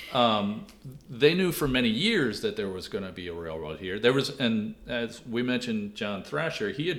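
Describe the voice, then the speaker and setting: In an unremarkable speaking voice, a man talks at a moderate pace. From Washington D.C. area. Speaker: author and local historian. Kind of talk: interview.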